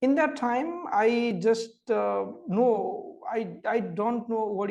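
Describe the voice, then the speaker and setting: A man speaks with a Nepali accent. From Nepal, small village. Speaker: migrant worker, fellow. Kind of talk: presentation. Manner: halting.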